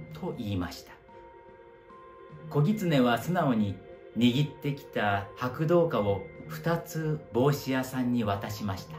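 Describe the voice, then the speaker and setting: Over clear music in the background, a man speaks at a very slow pace with long, frequent pauses, very wide pitch swings and big swings in loudness. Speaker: actor, storyteller. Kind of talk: narration of a children's story. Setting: home living room. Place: home room.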